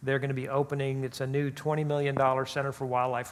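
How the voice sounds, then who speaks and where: A man with an American accent talks at a very fast pace in a flat, monotone delivery. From South Florida. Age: 60s. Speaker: zoo chief executive. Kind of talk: interview. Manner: halting, many repetitions and fillers.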